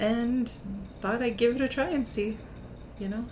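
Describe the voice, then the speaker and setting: A woman with a Canadian Prairies accent is heard with noticeable background noise and an audible room echo. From rural Saskatchewan, near Belle Plaine. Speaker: school vice principal. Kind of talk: casual interview chat.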